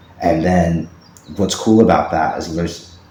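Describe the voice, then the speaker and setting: Through noticeable background noise, a man talks with a very deep, low pitch and ordinary pitch variation. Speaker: podcast host and fiction writer. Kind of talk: solo podcast monologue. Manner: fast; animated.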